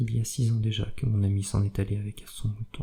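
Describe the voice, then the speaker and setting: A man's soft-spoken whisper, somewhat breathy. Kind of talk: whispered audiobook reading of a novel, ASMR. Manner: whispered, soft-spoken.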